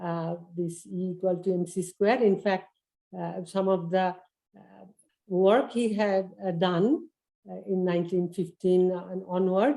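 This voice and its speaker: A woman's dark, mellow voice in an Indian accent, medium in pitch with fairly even intonation, at a fairly slow pace, with big swings in loudness. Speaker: volunteer lecturer. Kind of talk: class presentation.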